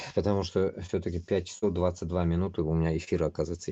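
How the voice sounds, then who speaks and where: Against a quiet background, a man with a very deep, low voice and a dark, mellow tone talks very fast in a monotone, flat intonation. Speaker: streamer. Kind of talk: live stream monologue. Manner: halting.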